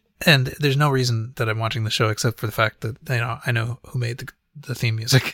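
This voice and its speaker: Talking very fast, a man with a medium-pitched voice and a bright, sharp tone comes through dry and close with no echo. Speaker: podcast host. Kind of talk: casual chat. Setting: online chat on Discord.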